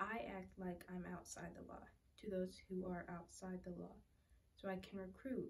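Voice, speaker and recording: Fairly slow is the pace at which a woman speaks. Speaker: scripture reader. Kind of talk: scripture reading. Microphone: phone near.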